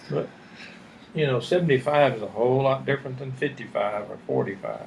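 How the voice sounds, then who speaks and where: Over noticeable background noise, a man talks at a fairly quick pace. His medium pitch shows ordinary variation. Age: 70s. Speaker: retired army general. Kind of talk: casual interview about life story.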